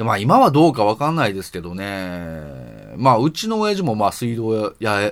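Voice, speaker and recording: This man has a normal speaking voice, pitched fairly low. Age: 30s. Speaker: podcast host. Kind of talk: solo casual talk. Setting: night recording. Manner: casual, many fillers.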